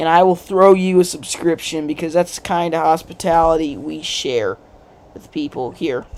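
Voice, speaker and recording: Talking at a moderate pace with an American accent, a woman has a fairly low pitch and big swings in loudness. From United States. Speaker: political commentary YouTuber. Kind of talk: casual livestream commentary. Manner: animated.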